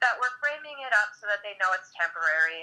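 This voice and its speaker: A woman's fairly high voice, bright and sharp, with lively intonation at a moderate pace. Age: 40s. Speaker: podcast guest, parent. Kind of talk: casual chat.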